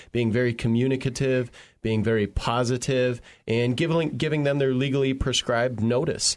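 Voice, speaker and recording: A man with an ordinary speaking voice talks at a fairly quick pace and a medium pitch over a quiet background. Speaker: brokerage president. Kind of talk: professional discussion.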